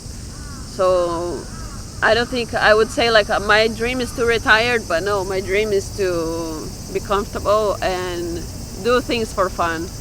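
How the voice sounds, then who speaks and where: A woman with a Brazilian accent speaks over noticeable background noise. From Brazil, small village. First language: Portuguese. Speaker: fashion model. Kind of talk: street interview.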